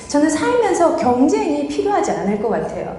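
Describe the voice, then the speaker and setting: In a strong Gyeongsang accent, a woman speaks amid noticeable background noise and audible room echo. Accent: Gyeongsang dialect, still strong. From Guryongpo, North Gyeongsang, Korea. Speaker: visual merchandising expert, business owner. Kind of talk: motivational lecture.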